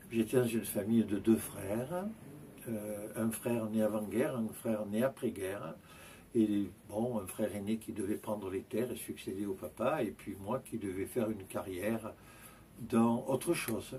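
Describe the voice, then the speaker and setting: A man speaks at a fairly slow pace. His tone is dark, mellow and somewhat breathy. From Provence, France (near Avignon). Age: 70s. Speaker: Orthodox priest. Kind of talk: interview, life story. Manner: hesitant, many filler sounds.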